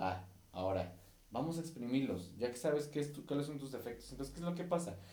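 The man's voice sits fairly high, with lively intonation. Audible room echo is present. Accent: Mexican. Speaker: podcast host and musician. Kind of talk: casual monologue. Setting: recording on camera. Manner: halting.

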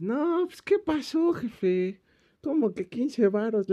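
A man puts on a drawling character voice at an extremely high pitch. It moves at a very slow pace with very wide pitch swings. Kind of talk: informal street slang. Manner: drawling, dragging.

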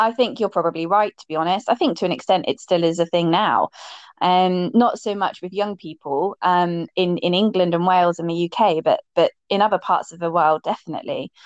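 With an ordinary speaking voice at a medium pitch, a woman talks at a fairly quick pace with ordinary pitch variation and big swings in loudness against a quiet background. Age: 30s. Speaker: LGBTQ+ inclusion educator and campaigner. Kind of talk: casual interview chat.

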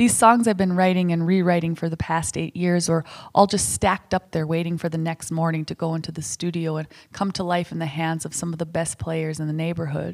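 A woman's fairly low voice with an American accent at a fairly quick pace, on a very clean recording with a silent background. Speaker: singer-songwriter and podcast host. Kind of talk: casual chat with husband, plus column reading. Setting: home, recording with husband. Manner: animated, laughs often.

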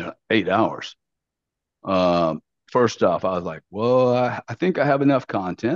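In a Louisiana accent, a man speaks at a moderate pace in a dry, close sound with no echo. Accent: Southern US (Louisiana). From US South, Louisiana. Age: 60s. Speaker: business executive and investor. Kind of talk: casual interview. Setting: remote call. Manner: animated.

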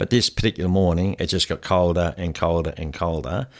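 A man speaks at a fairly quick pace with an Australian accent. His pitch is very deep and low. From Hamilton, Victoria, Australia. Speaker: football coach and fitness trainer. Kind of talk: interview. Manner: halting, many fillers.

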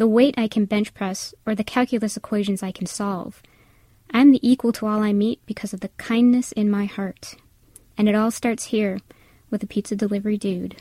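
A woman with an American accent speaks at a moderate pace and a fairly high pitch, her intonation fairly even and her tone dark, mellow and somewhat breathy. The sound is dry and close with no echo, a very clean recording with a silent background. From Wisconsin, US Midwest. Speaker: college professor, essayist. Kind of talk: reading aloud a personal essay.

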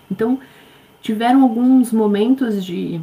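A woman talks at a moderate pace with ordinary pitch variation. Her voice is somewhat breathy with a dark, mellow tone. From Brazil. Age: 40s. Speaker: life coach. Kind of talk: interview.

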